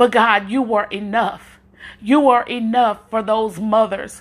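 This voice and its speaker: This woman's voice has a warm tone and a fairly high pitch. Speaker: prayer podcaster. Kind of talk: fervent prayer. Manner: fervent, impassioned; warm, encouraging.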